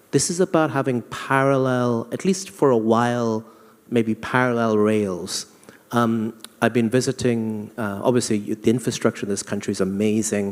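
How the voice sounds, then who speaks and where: A man with a London accent, medium pitch, ordinary pitch variation and a moderate pace. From England (London). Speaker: banking executive on a panel. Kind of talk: panel discussion.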